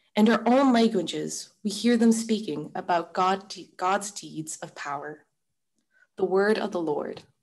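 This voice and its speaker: A woman's normal speaking voice at a medium pitch, fairly slow, with ordinary pitch variation. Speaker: lector. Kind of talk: scripture reading. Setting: video call.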